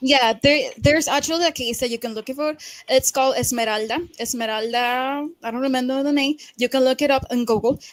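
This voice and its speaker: With a Spanish accent, a woman talks at a high pitch and a fairly quick pace. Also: fairly even intonation. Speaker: debate participant. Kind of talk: heated debate. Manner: halting.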